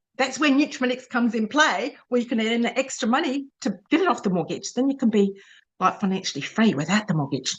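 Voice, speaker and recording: A woman with an Australian accent speaks very fast in a high voice, her pitch swinging very widely. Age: 60s. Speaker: direct sales manager. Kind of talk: webinar presentation. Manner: casual, chatty.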